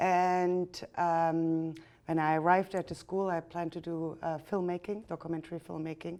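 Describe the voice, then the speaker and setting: A woman with a German accent speaks at a moderate pace in a fairly low, dark and mellow voice. Her intonation stays monotone and flat, on a very clean recording with a silent background. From Germany. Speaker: artist and photographer. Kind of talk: interview.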